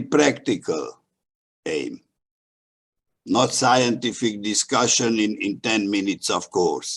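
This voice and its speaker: His pitch shows ordinary variation. This man speaks at a medium pitch. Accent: Hungarian. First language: Hungarian. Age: old. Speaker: history professor. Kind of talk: prepared talk at a webinar. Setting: video call. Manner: halting, with many fillers.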